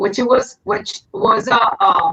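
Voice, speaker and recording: Lively intonation from a woman with a Puerto Rican accent and a fairly high pitch. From Puerto Rico. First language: Spanish. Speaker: singer and actress. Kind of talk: interview. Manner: halting.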